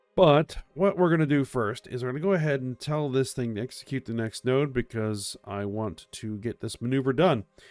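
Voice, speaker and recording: Over music in the background, a man speaks at a medium pitch and moderate pace with lively intonation and hardly any pauses, the sound dry and close with no echo. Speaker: gaming video creator. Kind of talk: gameplay commentary. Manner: casual.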